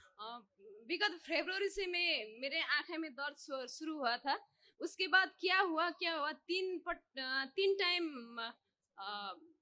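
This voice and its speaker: With a non-native accent, a woman speaks at an extremely high pitch and with lively intonation. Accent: non-native Hindi. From Nepal. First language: Nepali (speaking Hindi). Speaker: devotee. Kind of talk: testimony. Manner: halting.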